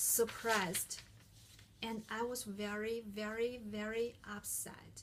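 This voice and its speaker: A woman speaks at a very slow pace with a non-native accent. Her pitch is fairly high. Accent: heavy non-native. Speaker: international student, speaker. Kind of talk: prepared talk.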